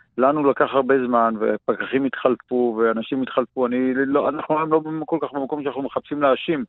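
An ordinary speaking voice from a man of medium pitch, at a moderate pace with hardly any pauses and fairly even intonation. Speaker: farmer and archaeologist, environmental activist. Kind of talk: radio interview. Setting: radio call.

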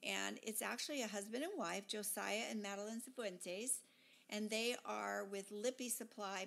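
A woman uses an ordinary speaking voice at a medium pitch with ordinary pitch variation. She talks at a moderate pace. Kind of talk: podcast intro.

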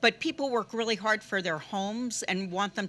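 Bright and sharp in tone, a woman speaks at a moderate pace with ordinary pitch variation. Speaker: speaker. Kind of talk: panel talk. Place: cafe. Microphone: handheld.

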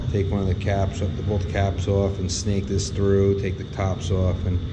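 Loud background noise fills the recording. Through it, a man keeps a moderate pace. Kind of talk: work narration. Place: workshop. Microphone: phone near.

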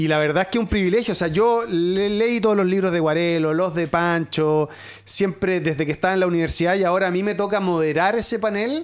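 Speaking at a fairly quick pace with hardly any pauses, a man with a high pitch keeps his loudness very even and his pitch variation ordinary against a quiet background. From southern Chile, Osorno; southern Chile. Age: 40s. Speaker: sports journalist. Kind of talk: casual chat. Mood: relaxed, animated storytelling. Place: studio. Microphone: studio mic.

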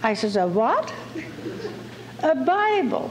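A woman's voice over noticeable background noise. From Netherlands. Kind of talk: personal testimony.

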